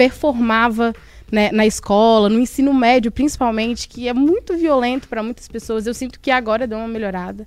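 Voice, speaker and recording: Here a woman speaks in a normal speaking voice. Her pace is moderate. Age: 20s. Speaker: podcast co-host. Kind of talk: casual panel discussion.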